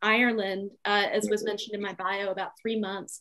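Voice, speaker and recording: A woman talks at a very fast pace over a quiet background. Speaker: poet. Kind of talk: poetry reading and panel discussion. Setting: video call. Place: home room. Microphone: video call.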